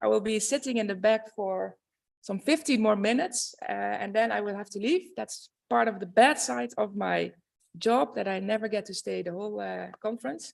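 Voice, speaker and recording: Someone speaks at a moderate pace with a Dutch accent. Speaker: university administrator. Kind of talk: welcome speech. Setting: conference stage with audience. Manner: formal.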